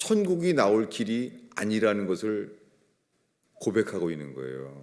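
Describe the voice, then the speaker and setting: A man's dark, mellow voice at medium pitch. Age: 60s. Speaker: pastor. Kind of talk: sermon. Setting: church.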